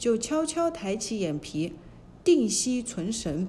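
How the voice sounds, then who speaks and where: The voice is dark and mellow, somewhat breathy, and moves at a very slow pace. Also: woman. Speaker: storyteller narrator. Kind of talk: fairy-tale narration for children, reading a classic story aloud.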